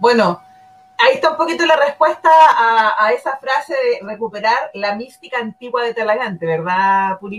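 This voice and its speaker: A woman with a high pitch speaks at a moderate pace with lively intonation. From Chile, Talagante. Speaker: community online show host. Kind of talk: casual interview show.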